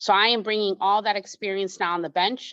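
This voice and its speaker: A woman's plain, everyday voice at medium pitch and a fairly quick pace, over a quiet background. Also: dry, close sound with no echo. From immigrant, came to the US at age eight. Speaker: judicial candidate, attorney. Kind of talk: candidate forum speech.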